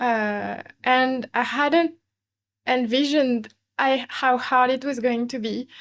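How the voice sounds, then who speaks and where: Speaking very slowly, a woman keeps her high voice at a fairly even intonation. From France, Paris. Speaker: interview guest, expat. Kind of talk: casual interview chat. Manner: hesitant, with many fillers.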